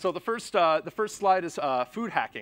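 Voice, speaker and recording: In a dry, close recording with no echo, a man with an American accent talks at a fairly quick pace. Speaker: conference speaker, chef and software developer. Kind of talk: conference talk. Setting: stage with audience. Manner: fast.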